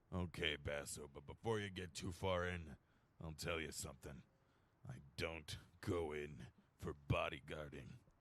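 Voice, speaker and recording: A man puts on a character voice, raspy and very deep in pitch, at a moderate pace. He leaves long, frequent pauses. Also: ordinary pitch variation. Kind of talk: hard-boiled voice-over. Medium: audio drama. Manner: dry, wisecracking.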